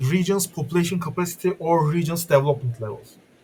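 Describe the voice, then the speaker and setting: A man with a non-native accent speaks at a fairly quick pace, his high pitch showing ordinary variation. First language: not English. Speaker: game modder. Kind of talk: tutorial. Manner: halting, stuttering.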